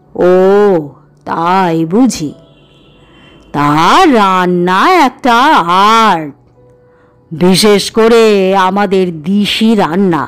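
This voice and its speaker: A woman's put-on character voice at medium pitch, very slow in pace and very even in loudness, with faint music in the background. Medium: read story. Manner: low-voiced, chuckling.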